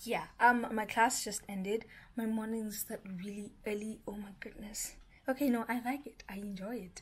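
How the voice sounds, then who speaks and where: Here a woman speaks in a somewhat breathy voice. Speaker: vlogger. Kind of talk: casual vlog chat. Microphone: phone near.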